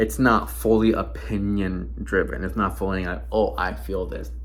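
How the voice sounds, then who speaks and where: Audible room echo colors the fairly slow delivery of a male speaker. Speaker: podcaster. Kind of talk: casual monologue. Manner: hesitant, many fillers.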